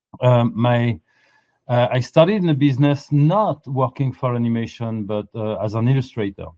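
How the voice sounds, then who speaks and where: A man speaks at a moderate pace with a French accent, a medium pitch and ordinary pitch variation. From France. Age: 50s. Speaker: animation art director. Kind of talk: interview.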